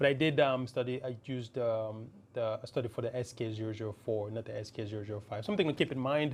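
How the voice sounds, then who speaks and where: A man of medium pitch talks with a non-native accent. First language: not English. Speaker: tech YouTuber. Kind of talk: tutorial. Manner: halting.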